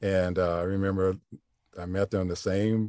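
In an American accent, a man with a very deep, low pitch and a dark, mellow tone speaks at a moderate pace with fairly even intonation, the sound dry and close with no echo. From US Midwest, Flint, Michigan. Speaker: voice actor. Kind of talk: casual chat. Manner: halting.

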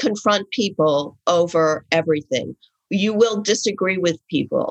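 A woman with an American accent and an unremarkable speaking voice, medium pitch, ordinary pitch variation and a fairly slow pace, in a dry, close sound with no echo. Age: 60s. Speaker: writer and advice columnist. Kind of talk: casual interview conversation.

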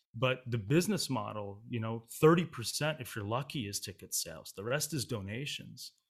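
A man talks at a moderate pace and medium pitch, somewhat breathy, with lively intonation. The recording is very clean, with a silent background. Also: hardly any pauses. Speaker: opera singer. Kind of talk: casual interview chat. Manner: reflective, talkative.

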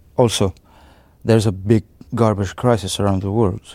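A man speaks at a fairly low pitch with an Arabic accent. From Syria, raised in Beirut, Lebanon. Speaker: artist. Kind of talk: interview. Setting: arts space exhibition. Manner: halting, frequent repetitions.

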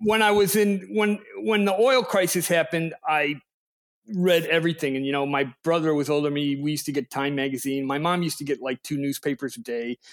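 With a Chicago accent, a man talks at a fairly quick pace, fairly high in pitch and lively in intonation, in a dry, close sound with no echo. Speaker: political and energy writer. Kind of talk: casual chat.

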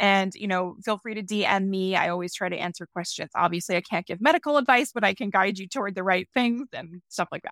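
A woman talks very fast at medium pitch with hardly any pauses and ordinary pitch variation. The recording is very clean, dry and close with no echo, over a silent background. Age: 40s. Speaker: science journalist and author. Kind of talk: interview.

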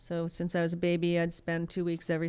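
Her pitch fairly low, a woman with an American accent speaks at a moderate pace. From Pittsburgh, Pennsylvania. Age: 40s. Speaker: surf photographer and filmmaker. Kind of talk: casual interview chat.

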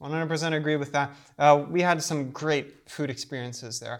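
A man's plain, everyday voice at a fairly high pitch and fairly quick pace, on a very clean recording with a silent background. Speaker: travel podcast co-host. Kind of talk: casual chat.

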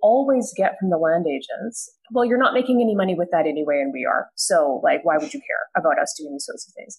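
A woman with a Canadian accent talks at a fairly quick pace in a plain, everyday voice, her medium pitch carried by lively intonation. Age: 30s. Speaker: political science professor. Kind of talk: panel discussion.

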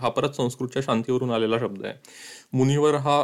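A medium-pitched male voice with fairly even intonation. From Madhya Pradesh, India. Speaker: podcaster and writer. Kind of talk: narrated podcast monologue.

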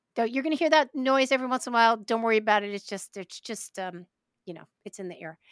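In an American accent, a plain, everyday voice shows ordinary pitch variation, with a dry, close sound with no echo on a very clean recording with a silent background. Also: woman. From New York, Brooklyn. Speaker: podcast host. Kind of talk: casual interview.

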